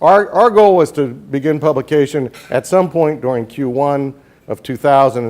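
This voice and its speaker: In an American accent, a man speaks at a moderate pace with a fairly high pitch and ordinary pitch variation. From New Jersey, US East Coast. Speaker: newspaper publisher. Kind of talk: speech to a professional group.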